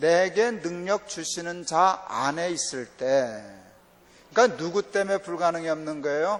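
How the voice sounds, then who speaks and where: At a fairly slow pace, a man with a high pitch speaks with a slight North Korean accent. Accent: underlying North Korean intonation. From South Korea, family from North Korea. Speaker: pastor. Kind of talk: sermon. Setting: church revival meeting.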